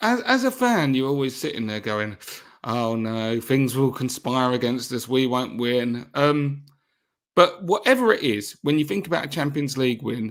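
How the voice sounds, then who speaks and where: On a very clean recording with a silent background, a man talks at a medium pitch and moderate pace, his pitch varying in an ordinary way. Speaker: football podcast co-host. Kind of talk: casual chat. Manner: loud.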